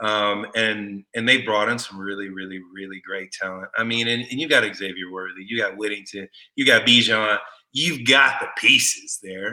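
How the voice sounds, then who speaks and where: In an American accent, a man speaks at a fairly low pitch with a bright, sharp tone, fairly even intonation and big swings in loudness. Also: moderate pace. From Texas, Austin. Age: 40s. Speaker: former football player and broadcaster. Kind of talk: casual chat.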